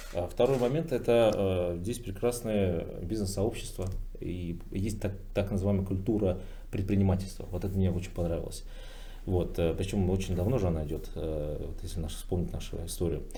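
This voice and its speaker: A man's very deep, low voice, dark and mellow, somewhat breathy, with audible room echo. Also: ordinary pitch variation, moderate pace. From Bashkortostan, Russia. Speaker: businessman, PR specialist. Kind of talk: roundtable discussion. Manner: hesitant, many filler sounds.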